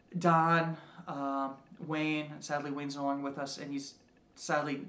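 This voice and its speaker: A fairly high-pitched man in a monotone, flat intonation, with audible room echo. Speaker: game designer and writer. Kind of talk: casual monologue. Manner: halting, many fillers and repeats.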